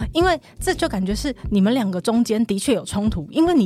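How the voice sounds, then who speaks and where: Her pitch swings very widely as this woman speaks at a fairly quick pace. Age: 40s. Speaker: counseling psychologist. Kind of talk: casual chat.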